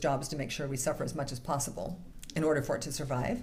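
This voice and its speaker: Talking at a very fast pace, a woman with a very deep, low voice sounds somewhat breathy, her intonation fairly even, with audible room echo. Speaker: minister. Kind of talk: sermon.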